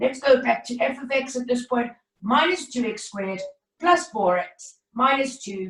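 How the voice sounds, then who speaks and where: This is a woman speaking. Her pitch is high. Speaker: maths teacher. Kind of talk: online lesson. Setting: video call.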